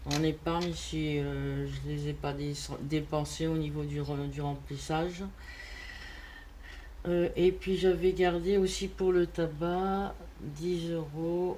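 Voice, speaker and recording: A woman is speaking. Her pace is very slow. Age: 60s. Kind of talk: casual talk to camera.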